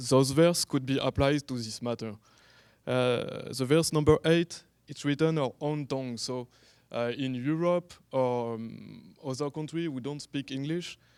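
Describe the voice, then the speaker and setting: A man with a French accent speaks at a fairly slow pace, fairly high-pitched and with fairly even intonation. The recording is very clean, with a silent background and a dry, close sound with no echo. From France. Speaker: online evangelist. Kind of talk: conference talk. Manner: halting.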